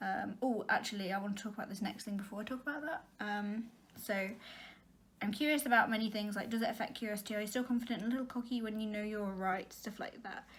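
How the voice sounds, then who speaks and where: This woman's voice sits fairly high and is somewhat breathy. She speaks very fast with fairly even intonation. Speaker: vlogger. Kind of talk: casual monologue.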